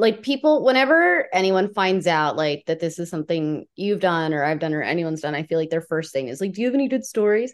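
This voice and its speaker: Against a quiet background, a woman rattles along at a very fast pace with hardly any pauses. Her fairly low voice has lively intonation. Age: 30s. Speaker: podcast host. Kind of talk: podcast interview.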